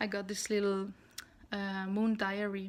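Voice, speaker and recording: Flat, monotone intonation from a woman at a moderate pace. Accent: non-native. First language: not English. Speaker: spiritual vlogger (tarot). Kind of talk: casual vlog monologue. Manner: halting, with many fillers.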